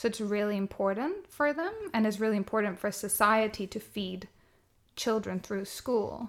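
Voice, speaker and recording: A woman with a Swedish accent, a fairly high pitch, ordinary pitch variation and a moderate pace. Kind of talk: casual chat.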